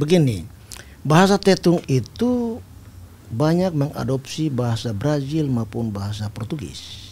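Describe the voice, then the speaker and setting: A man's dark, mellow, somewhat breathy voice, fairly slow, with very wide pitch swings. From East Timor. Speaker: army general; guest. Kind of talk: interview. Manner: formal. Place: studio. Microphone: studio mic.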